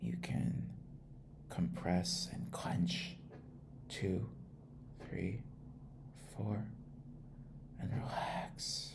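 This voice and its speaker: Whispering and soft-spoken, the speaker keeps a calm tone at a very slow pace. Long pauses come often. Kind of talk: ASMR trip-sitter role-play guiding relaxation and sleep. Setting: close mono microphone recording. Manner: soft-spoken, calm, with some whispering.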